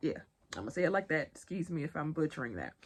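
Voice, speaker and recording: A woman with a Southern US accent speaks in a fairly low pitch. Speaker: pop culture and news commentator. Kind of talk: casual vlog commentary.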